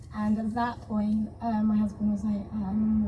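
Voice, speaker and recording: A woman with a fairly high voice speaks at a fairly slow pace, with noticeable background noise and audible room echo. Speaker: stroke survivor. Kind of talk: panel discussion. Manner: halting.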